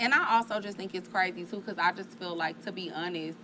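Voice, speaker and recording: Amid noticeable background noise, a woman with a medium pitch speaks at a very fast pace with ordinary pitch variation. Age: 30s. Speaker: podcast host. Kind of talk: casual chat.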